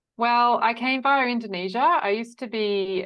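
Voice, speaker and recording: A woman speaks at a moderate pace with an Australian accent. Her intonation is lively. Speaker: quilt designer and online teacher. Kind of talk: interview.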